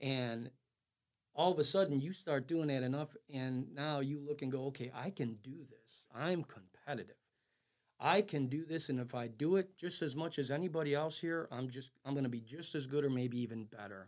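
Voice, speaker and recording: A man with an American accent has an unremarkable speaking voice, fairly high in pitch, with ordinary pitch variation and a moderate pace. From Chicago, Illinois. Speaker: amateur golfer and entrepreneur. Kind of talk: interview.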